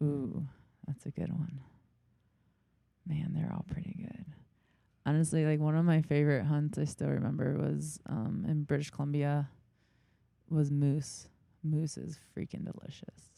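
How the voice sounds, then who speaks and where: With a New York accent, a woman speaks at a fairly slow pace in a very deep, low, dark and mellow voice, with fairly even intonation and long, frequent pauses. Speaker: big game hunter. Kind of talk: casual interview chat.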